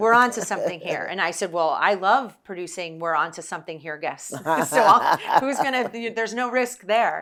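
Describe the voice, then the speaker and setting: With a New Jersey accent, a woman talks fairly quickly at a medium pitch, her tone bright and sharp and her intonation lively. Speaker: podcast host, former TV producer. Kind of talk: casual interview chat. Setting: on location in Baltimore.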